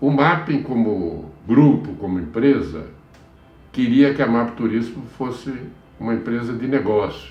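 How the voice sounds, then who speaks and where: There is audible room echo as a man with a medium pitch talks with vocal fry. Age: 70s. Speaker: travel industry executive. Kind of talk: interview testimony. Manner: halting, with repetitions.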